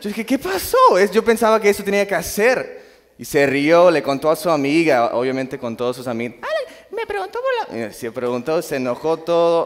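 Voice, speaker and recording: A man's voice comes through at a moderate pace against noticeable background noise. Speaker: lay preacher. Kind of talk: sermon. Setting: church. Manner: informal, halting.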